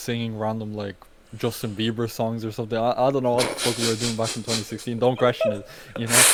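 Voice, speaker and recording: A man speaks at a very fast pace in a medium pitch, his intonation flat and monotone, with noticeable background noise behind him. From Ireland, County Meath. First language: not English. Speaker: rapper and urban explorer. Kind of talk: casual interview chat.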